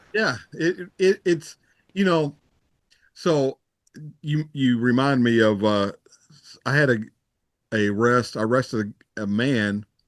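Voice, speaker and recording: With a Texan accent, a man talks at a fairly slow pace with lively intonation, very even loudness and long, frequent pauses. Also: medium pitch for a man, dry, close sound with no echo. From Texas. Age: 60s. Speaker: retired police officer. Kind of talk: casual chat.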